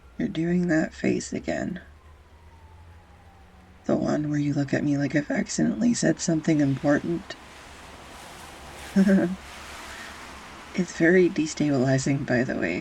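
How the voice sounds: In a put-on character voice, a woman speaks at a fairly slow pace with long, frequent pauses, her low pitch and slightly mellow tone carrying a husky, rough edge and vocal fry. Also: ordinary pitch variation.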